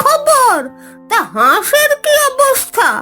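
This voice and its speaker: A cartoonish character voice with very wide pitch swings and a very slow pace, faint music in the background. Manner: brisk, scolding.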